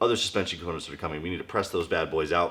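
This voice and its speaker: A man is speaking. His voice carries vocal fry. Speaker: car builder and video host. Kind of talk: workshop tutorial vlog. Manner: casual.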